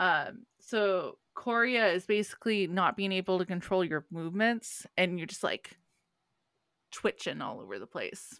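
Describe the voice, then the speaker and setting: A woman with a normal speaking voice talks at a fairly slow pace and a medium pitch, her intonation fairly even while her loudness swings widely. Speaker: podcast host. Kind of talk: casual chat. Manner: laughs often, chatty.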